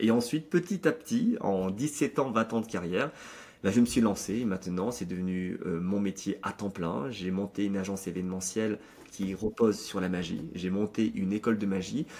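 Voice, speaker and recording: A man with an unremarkable speaking voice talks at a fairly low pitch and a moderate pace, with ordinary pitch variation. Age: 30s. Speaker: magician and speaker. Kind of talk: interview.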